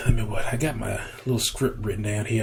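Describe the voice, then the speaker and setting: A man at a medium pitch speaks with audible room echo. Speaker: YouTuber, RC helicopter hobbyist. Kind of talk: casual vlog monologue. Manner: monotone; halting, many fillers and repeats.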